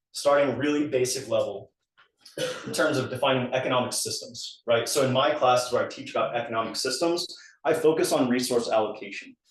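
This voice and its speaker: A man at medium pitch speaks at a fairly quick pace with fairly even intonation, and audible room echo surrounds him. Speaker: economics lecturer. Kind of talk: lecture. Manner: fast.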